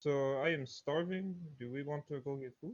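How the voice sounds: A fairly high-pitched man's voice at a moderate pace, with ordinary pitch variation.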